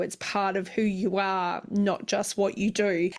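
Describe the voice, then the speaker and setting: A woman speaks at a fairly slow pace and a medium pitch. She has a plain, everyday voice. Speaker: podcast host. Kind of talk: interview question.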